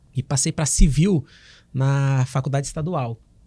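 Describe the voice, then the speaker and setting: In a northeastern Brazilian accent, a man with a fairly high pitch and a dark, mellow, somewhat breathy tone speaks at a fairly slow pace with fairly even intonation, in a very clean recording with a silent background. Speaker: oral and maxillofacial surgeon. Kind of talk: podcast interview.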